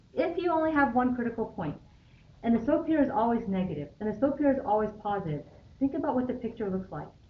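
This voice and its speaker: A woman with a fairly high pitch speaks at a very fast pace, her pitch swinging very widely amid audible room echo. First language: not English. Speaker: high school math teacher. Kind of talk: classroom lecture. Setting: classroom. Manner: conversational, many fillers.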